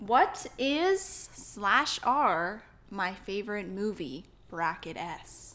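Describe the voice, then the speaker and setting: The voice moves at a very slow pace, with a bright, sharp tone and lively intonation. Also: woman, medium pitch for a woman. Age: 20s. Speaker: podcast host. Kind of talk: casual chat.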